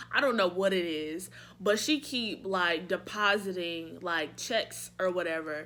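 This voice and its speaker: A woman's animated, bright, sharp voice at medium pitch, with lively intonation and a fairly slow pace. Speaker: beauty and lifestyle vlogger. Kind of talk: casual chat.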